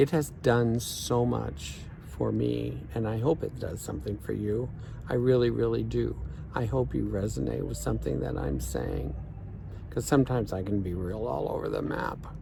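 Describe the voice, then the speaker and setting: A man's very deep, low voice with very wide pitch swings and audible room echo. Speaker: life coach. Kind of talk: vlog monologue. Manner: slow; thoughtful.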